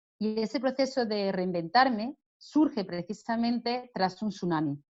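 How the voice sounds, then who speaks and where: An Andalusian accent with lively intonation at a fairly slow pace. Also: woman, fairly high pitch for a woman. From Andalusia, Spain (Jaén). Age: 50s. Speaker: author and business consultant. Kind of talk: interview.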